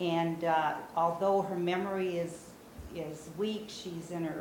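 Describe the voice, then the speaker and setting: A woman speaks with a fairly low pitch and ordinary pitch variation. Audible room echo and noticeable background noise fill the recording. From Brazil. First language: Portuguese. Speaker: memoir author. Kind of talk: talk to an audience.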